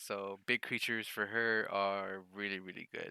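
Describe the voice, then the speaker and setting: In a very clean recording with a silent background, a man speaks in a flat monotone at a fairly low pitch, the sound dry and close with no echo. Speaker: card game YouTuber. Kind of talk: unboxing video.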